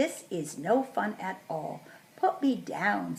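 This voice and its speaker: A woman puts on a character voice and talks fairly slowly. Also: medium pitch for a woman. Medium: read story. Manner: fretful, scolding.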